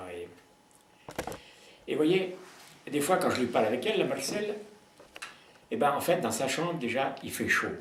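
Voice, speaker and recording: This man talks at a moderate pace in a fairly high pitch, with very wide pitch swings and long, frequent pauses. Noticeable background noise and audible room echo are present. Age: 80s+. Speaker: peasant philosopher. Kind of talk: interview. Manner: hesitant, repetitive.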